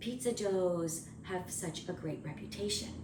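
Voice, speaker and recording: Over noticeable background noise and audible room echo, a woman speaks quietly with ordinary pitch variation. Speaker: homesteading cooking vlogger. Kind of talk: casual cooking vlog to camera. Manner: quiet, subdued speaking.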